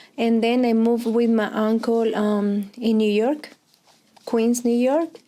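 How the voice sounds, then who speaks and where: Speaking at a very slow pace, a woman with a Colombian accent uses a fairly high pitch and fairly even intonation. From Colombia, Pereira. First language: Spanish. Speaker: Spanish teacher. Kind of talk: oral history interview. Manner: hesitant, many fillers.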